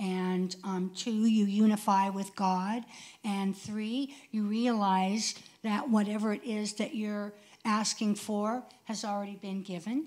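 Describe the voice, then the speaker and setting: Speaking very slowly with fairly even intonation, a woman has a medium-pitched, somewhat breathy voice with a dark, mellow tone. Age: 60s. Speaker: church volunteer. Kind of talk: personal testimony. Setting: church platform, recorded on video.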